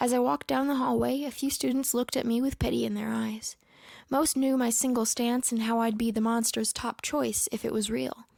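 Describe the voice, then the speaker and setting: Soft-spoken and very even in loudness, a woman talks at a fairly quick pace in a very clean recording with a silent background. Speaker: story narrator. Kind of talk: horror story reading. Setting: home recording.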